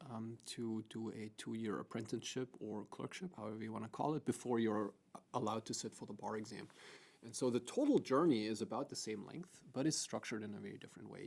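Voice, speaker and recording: A man with a German accent talks very fast at medium pitch. His loudness swings widely. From Germany. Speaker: law professor. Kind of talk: podcast interview.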